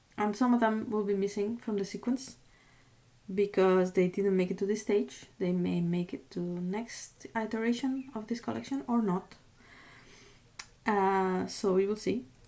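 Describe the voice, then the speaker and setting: A woman talks at a fairly slow pace in a medium pitch. Her tone is dark and mellow. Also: ordinary pitch variation. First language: not English (English is third or later). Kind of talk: product showcase video. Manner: hesitant, with fillers.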